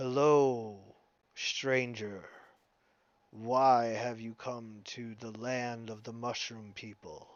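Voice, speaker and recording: Using a booming, put-on character voice at a medium pitch, a man talks at a very slow pace with long, frequent pauses. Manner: booming, commanding.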